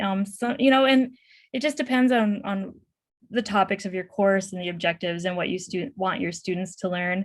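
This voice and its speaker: On a very clean recording with a silent background, a woman's somewhat breathy voice sits at a medium pitch with ordinary pitch variation. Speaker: professor. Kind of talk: Q&A after a conference presentation. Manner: fast.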